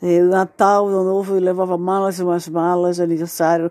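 On a very clean recording over a silent background, a woman with a fairly low pitch and a dark, mellow tone speaks at a moderate pace in monotone, flat intonation. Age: 60s. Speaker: widow telling her life story. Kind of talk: personal testimony. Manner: halting.

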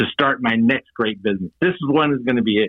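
With an American accent, a man in an unremarkable speaking voice talks at a fairly quick pace, his medium pitch carrying lively intonation. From New York, the Bronx. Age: 60s. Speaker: franchise consultant, Marine veteran. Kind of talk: interview.

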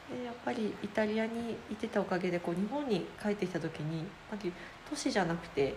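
Over noticeable background noise, a woman speaks at a fairly quick pace in a medium pitch. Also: lively intonation. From Chiba, Japan. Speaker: cook and caterer. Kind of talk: casual interview.

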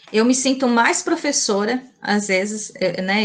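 At a moderate pace, a woman with fairly high pitch speaks in a somewhat breathy voice with ordinary pitch variation. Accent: strong São Paulo interior. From Mato Grosso, Brazil (Colíder). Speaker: language teacher. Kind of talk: interview. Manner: hesitant, many fillers.

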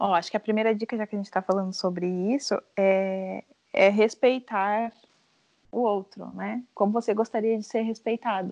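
A woman speaks at a moderate pace in an ordinary speaking voice, her pitch medium and her intonation fairly even. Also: dry, close sound with no echo, quiet background. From southern Brazil, Rio Grande do Sul (São José do Norte). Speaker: teacher. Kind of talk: casual chat.

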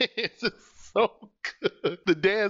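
A man speaks with ordinary pitch variation. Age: 30s. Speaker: podcast co-host. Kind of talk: casual chat. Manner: loud.

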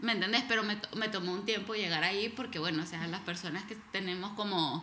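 A woman at a fairly quick pace, with noticeable background noise and audible room echo. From El Salvador. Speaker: podcast co-host. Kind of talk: casual chat. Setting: living room at home.

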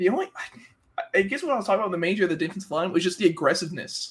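This man's pitch is high, with ordinary variation. He speaks at a very fast pace. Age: 20s. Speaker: podcast co-host. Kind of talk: casual chat.

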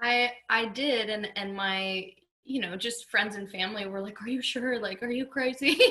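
A woman with a normal speaking voice and an American accent speaks at a moderate pace in a fairly high pitch. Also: ordinary pitch variation. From US South, West Palm Beach, Florida. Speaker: country singer-songwriter. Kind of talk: casual interview.

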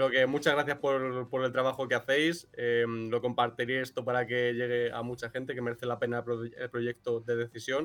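A man at a moderate pace with hardly any pauses, medium pitch and monotone, flat intonation. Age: 20s. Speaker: cartoonist and illustrator. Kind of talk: interview.

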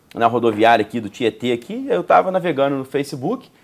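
Very wide pitch swings mark a man's fairly high voice as he speaks at a very fast pace. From Juiz de Fora, Minas Gerais, Brazil. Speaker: entrepreneur. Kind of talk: interview conversation. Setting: bookstore recording set.

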